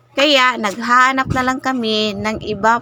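With a Visayan accent, a woman speaks fairly slowly at a fairly high pitch over noticeable background noise. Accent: Visayan accent when speaking Tagalog. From Visayas, Philippines. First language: Cebuano (Bisaya) (speaking Tagalog). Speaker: vlogger. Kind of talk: voice-over narration of a vlog.

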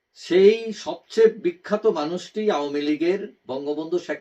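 A man's fairly high-pitched voice in a dark, mellow tone. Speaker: political commentator YouTuber. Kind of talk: opinion monologue. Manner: halting, many pauses.

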